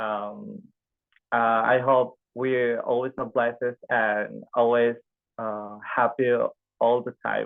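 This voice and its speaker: The man speaks with an Indonesian accent at a medium pitch. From Indonesia, Bangka Belitung. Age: 20s. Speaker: speech workshop participant. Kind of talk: prepared speech. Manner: halting.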